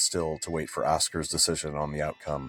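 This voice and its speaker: Over music in the background, a man with a very deep, low voice speaks at a moderate pace. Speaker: author reading own book. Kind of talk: audiobook fantasy narration.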